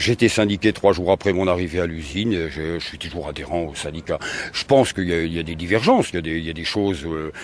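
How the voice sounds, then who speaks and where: Over noticeable background noise, a man with a very deep, low voice talks at a very fast pace, his loudness swinging widely and his pitch varying in an ordinary way. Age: 60s. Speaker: retired factory worker and trade unionist. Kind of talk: interview. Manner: halting, many hesitations.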